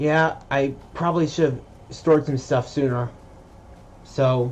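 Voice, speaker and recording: A man talks quietly at a fairly slow pace. His fairly high voice stays monotone and flat. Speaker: gaming video creator. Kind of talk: gameplay commentary. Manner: halting, repeats words.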